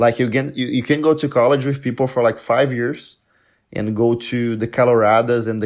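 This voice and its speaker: A man talks with a Portuguese accent. His intonation stays monotone and flat. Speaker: polyglot and content creator. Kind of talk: casual chat.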